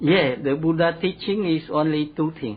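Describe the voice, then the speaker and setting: The speaker is a man with a Cambodian accent. His voice sits at a fairly high pitch. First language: Khmer. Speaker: Buddhist monk. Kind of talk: interview answer.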